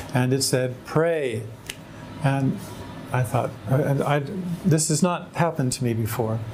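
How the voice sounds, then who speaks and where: A man with an American accent speaks at a fairly slow pace with long, frequent pauses, his loudness very even and his pitch varying in an ordinary way, over background music and audible room echo. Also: medium pitch for a man. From US West Coast, San Diego, California. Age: 60s. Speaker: convert sharing his story. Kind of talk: personal testimony.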